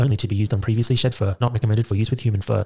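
Music plays in the background, with a dry, close sound with no echo. A man speaks very fast at a medium pitch with ordinary pitch variation. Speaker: podcast host. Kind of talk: casual chat.

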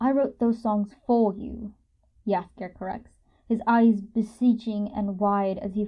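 The speaker uses an unforced reading voice. Nothing about it sounds strained.

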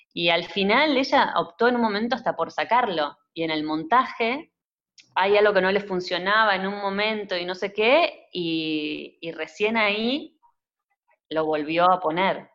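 A woman with a plain, everyday voice, medium pitch, lively intonation and a fairly slow pace. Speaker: cinematographer. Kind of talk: interview.

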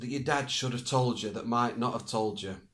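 A man talks at a fairly quick pace. His voice sits at medium pitch. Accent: northern English. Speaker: podcast co-host. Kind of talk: casual chat.

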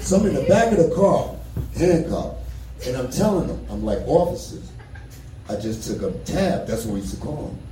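A man's fairly quick speech in a New York accent, with big swings in loudness, audible room echo and noticeable background noise. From New York, the Bronx. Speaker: comedian. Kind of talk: stand-up. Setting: stage with audience. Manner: animated.

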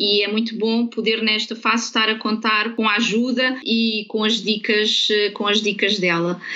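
Over noticeable background noise, a woman speaks fairly slowly at a fairly high pitch with hardly any pauses. Her intonation is monotone and flat, and her loudness stays very even. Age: 40s. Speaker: real estate consultant and coach. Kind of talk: interview. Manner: halting, repeats words.

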